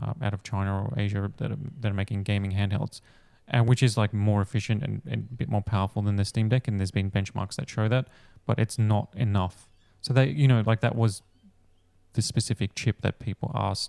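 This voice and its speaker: An Australian-accented man speaks at a fairly quick pace, fairly low in pitch with a dark, mellow tone and ordinary pitch variation. The recording is very clean with a silent background, and the sound is dry and close with no echo. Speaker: tech podcast host. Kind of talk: casual chat. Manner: hesitant, many fillers.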